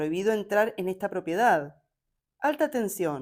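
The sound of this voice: An unforced reading voice carries lively intonation against a quiet background.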